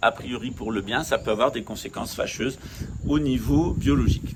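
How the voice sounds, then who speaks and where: Over noticeable background noise, a man speaks at a fairly slow pace with a medium pitch. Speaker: spiritual teacher. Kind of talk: talk to camera. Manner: hesitant.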